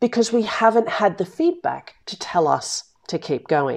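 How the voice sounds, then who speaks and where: Very wide pitch swings mark this woman's voice, with an Australian accent. The recording is very clean, with a silent background. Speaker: business coach and podcast host. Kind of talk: solo podcast monologue. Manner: direct, blunt.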